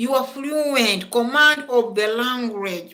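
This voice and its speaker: A woman's high, bright, sharp voice with ordinary pitch variation. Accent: Ugandan. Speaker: school principal and English lecturer. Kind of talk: lecture. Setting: classroom, also streamed online.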